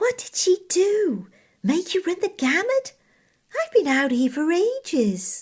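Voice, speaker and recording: A woman speaks in a put-on character voice, squeaky and extremely high-pitched. Her pitch swings very widely at a fairly slow pace. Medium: read story. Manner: casual, slangy.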